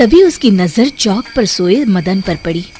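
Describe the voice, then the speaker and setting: Over clear background noise, a woman uses a cartoonish character voice at a medium pitch and a moderate pace. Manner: cackling.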